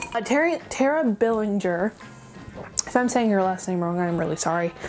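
With faint music in the background, a woman talks in an upbeat tone. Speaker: animation reviewer. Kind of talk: casual talk to camera. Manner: rambling, upbeat. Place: home room.

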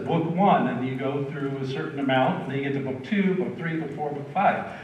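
Speech comes at a moderate pace with ordinary pitch variation, audible room echo and light background noise. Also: man. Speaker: pastor. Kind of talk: sermon. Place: church.

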